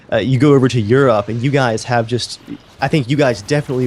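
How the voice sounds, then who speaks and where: With an American accent, a man speaks in a somewhat breathy voice with fairly even intonation. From USA. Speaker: gaming youtuber. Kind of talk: interview.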